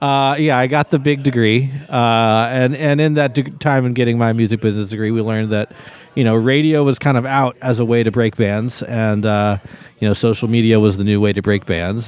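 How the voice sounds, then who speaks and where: A man's medium-pitched voice with an American accent, fairly quick, with ordinary pitch variation, very even loudness and noticeable background noise. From Texas, Austin. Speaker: musician (trumpet and keyboard player). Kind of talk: casual chat.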